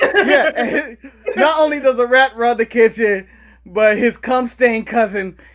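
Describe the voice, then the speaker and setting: Over noticeable background noise, a man talks at a fairly slow pace with an extremely high pitch and ordinary pitch variation. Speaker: wrestling podcast co-host. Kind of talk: casual banter, podcast discussion.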